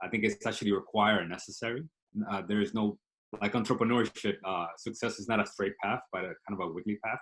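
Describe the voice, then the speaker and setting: A man with a Spanish accent speaks at a very fast pace. His pitch is fairly low and his intonation fairly even. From Dominican Republic, then South Bronx from age 12. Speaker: startup CEO. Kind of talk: interview. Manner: hesitant with fillers.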